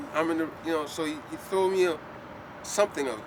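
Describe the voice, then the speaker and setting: Amid noticeable background noise, an American-accented man speaks fairly quickly at a fairly high pitch. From US Virgin Islands (St Croix). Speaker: artist and set designer. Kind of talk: casual chat. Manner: animated.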